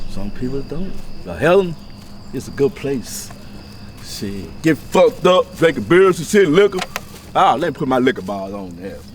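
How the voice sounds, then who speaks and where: At a moderate pace, the voice makes very wide pitch swings and big swings in loudness, broken by long, frequent pauses over noticeable background noise. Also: man. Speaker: local resident. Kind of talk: casual street interview.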